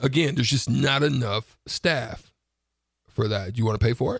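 Somewhat breathy, a man talks at a moderate pace. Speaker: radio co-host. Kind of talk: casual chat. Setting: studio.

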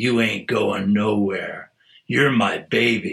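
A man puts on a raspy, growling character voice at medium pitch. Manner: possessive.

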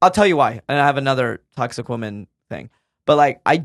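A man speaks in a normal speaking voice at a medium pitch, with lively intonation and a fairly quick pace against a quiet background. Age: 30s. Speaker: comedian. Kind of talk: casual chat. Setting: studio.

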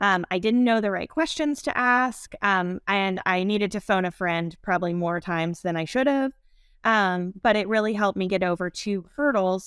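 In a very clean recording with a silent background and a dry, close sound with no echo, a woman uses a normal speaking voice at medium pitch, with ordinary pitch variation and a moderate pace. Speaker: marketing manager. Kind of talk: casual interview.

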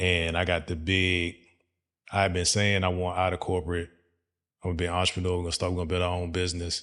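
Very deep and low-pitched, a man talks at a very fast pace in a monotone, flat delivery broken by long, frequent pauses. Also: quiet background. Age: 40s. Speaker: podcast host. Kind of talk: casual interview.

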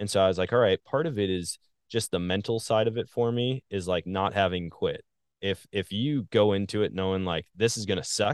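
An ordinary speaking voice, a man with a fairly low pitch and an American accent, fairly quick pace and ordinary pitch variation. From Wisconsin, US Midwest. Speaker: hunter and social media content creator. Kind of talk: casual interview chat.

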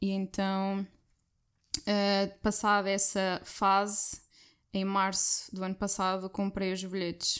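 In a very clean recording with a silent background, a woman speaks at a very slow pace with long, frequent pauses. Her pitch is medium and her intonation monotone and flat. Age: 20s. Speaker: guest traveller, finance worker. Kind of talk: casual chat.

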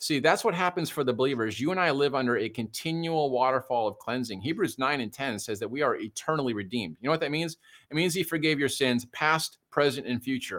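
The speaker talks very fast with an American accent on a very clean recording with a silent background. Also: man, fairly high pitch for a man, ordinary pitch variation. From US Midwest, suburban Detroit. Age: 50s. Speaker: pastor. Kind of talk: casual chat. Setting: live show.

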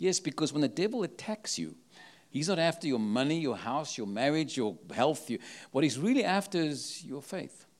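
A man with a South African accent, fairly high in pitch, with vocal fry and lively intonation at a moderate pace, in a very clean recording with a silent background. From South Africa, Cape Town. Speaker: travelling prophetic minister. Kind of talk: sermon. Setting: church with live audience.

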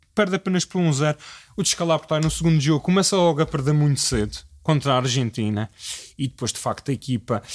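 Dry and close with no echo, a man talks very fast at a fairly high pitch with lively intonation. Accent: European Portuguese. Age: 20s. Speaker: football fan guest. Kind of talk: casual chat. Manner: halting.

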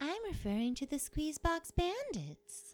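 A woman puts on a character voice with a high pitch. It swings very widely in pitch. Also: moderate pace. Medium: audio drama. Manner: dry, weary.

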